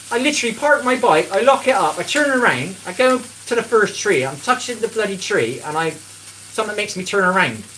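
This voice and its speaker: A raised, projected voice with very wide pitch swings over noticeable background noise. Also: man. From England. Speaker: cooking livestreamer. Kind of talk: casual live-stream chat. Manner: animated.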